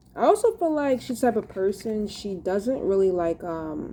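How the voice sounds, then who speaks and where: Dark, mellow tone with very wide pitch swings at a fairly slow pace. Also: woman. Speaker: tarot reader. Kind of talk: tarot reading monologue. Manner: halting, many fillers.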